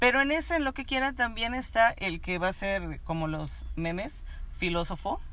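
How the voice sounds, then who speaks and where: A woman's medium-pitched voice with a Mexican accent, very wide pitch swings and a moderate pace. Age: 40s. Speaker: labor lawyer. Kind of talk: casual chat.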